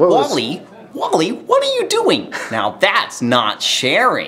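Over clear background noise, a man talks very slowly in a put-on character voice. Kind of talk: playful.

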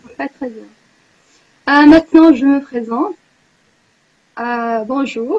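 The speaker goes at a very slow pace with long, frequent pauses and big swings in loudness. Pitch variation is ordinary, and the background is quiet. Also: woman, high pitch for a woman. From Morocco. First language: Arabic (speaking French). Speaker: university student, language exchange participant; tutor leading a language exchange. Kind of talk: casual online group chat, self-introduction. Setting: video call. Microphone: video call.

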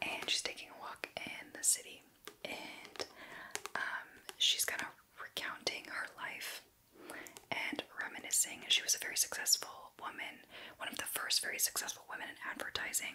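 Soft-spoken and whispering, a woman talks at a moderate pace with long, frequent pauses and big swings in loudness over light background noise. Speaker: book reviewer. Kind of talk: casual vlog chat. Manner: soft whispered ASMR ramble. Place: home room.

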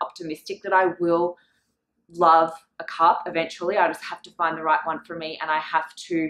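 Audible echo from the room surrounds a woman as she talks. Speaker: home vlogger. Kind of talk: casual vlog chat. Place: home room. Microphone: camera far.

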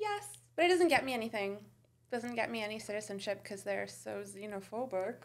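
A woman with a Canadian accent talks in a normal speaking voice at a fairly quick pace. Her pitch is fairly high, and her intonation is lively. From Canada (Toronto area), Iranian family, born in Italy. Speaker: comedian and TV writer. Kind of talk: casual chat.

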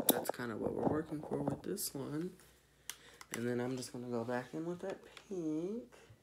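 Over loud background noise, a man speaks at a moderate pace with lively intonation and long, frequent pauses. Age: 20s. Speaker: beauty vlogger. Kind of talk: makeup tutorial. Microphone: phone near.

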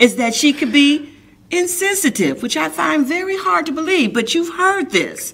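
At a moderate pace, a woman talks in an animated tone, her pitch swinging very widely. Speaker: talk show host. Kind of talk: interview. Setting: studio. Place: studio.

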